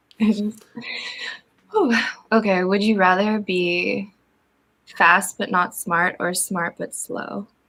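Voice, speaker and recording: A woman with an American accent and a bright, sharp tone speaks at medium pitch and a very slow pace, with long, frequent pauses. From Jamaica. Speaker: voice narrator and live stream host. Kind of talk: casual live stream chat. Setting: live stream from home. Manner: animated.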